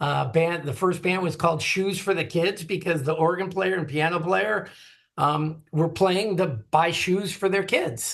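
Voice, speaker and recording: In an Upper Midwest accent, a man with a high pitch talks at a fairly slow pace with ordinary pitch variation. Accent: Upper Midwest American. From US Midwest, Green Bay, Wisconsin. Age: 60s. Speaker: drummer and retired music industry marketer. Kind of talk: interview conversation.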